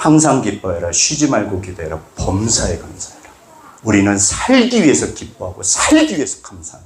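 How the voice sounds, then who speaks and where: A man's animated voice at a moderate pace, set in audible room echo. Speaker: pastor. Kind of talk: sermon.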